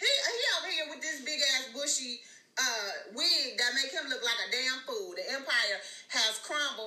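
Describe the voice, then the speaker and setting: Projecting a raised voice, a woman speaks in an animated tone with very wide pitch swings over noticeable background noise. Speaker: live stream host, celebrity gossip commentator. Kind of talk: angry rant. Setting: live stream with chat. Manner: animated, sassy, loud.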